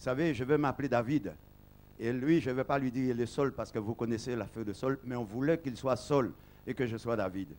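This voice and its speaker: Here a man speaks with a medium pitch and ordinary pitch variation. His pace is fairly quick. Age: 60s. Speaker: pastor. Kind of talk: testimony speech at an ordination service. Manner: halting.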